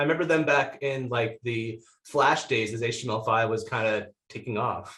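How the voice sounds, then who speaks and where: This man has an unremarkable speaking voice with an American accent, a medium pitch, ordinary pitch variation and a moderate pace. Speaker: podcast host. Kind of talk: casual interview.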